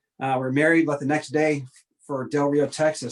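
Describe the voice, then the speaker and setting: An unremarkable speaking voice goes along at a fairly quick pace. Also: man. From upstate New York (far north). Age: 40s. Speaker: airline pilot and military reserve officer. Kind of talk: casual interview.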